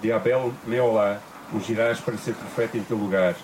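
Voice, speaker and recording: A man's medium-pitched voice at a fairly slow pace, with fairly even intonation, audible room echo and noticeable background noise. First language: Portuguese (speaking Spanish). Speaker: interpreter. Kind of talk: consecutive interpretation of sermon. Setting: church retreat.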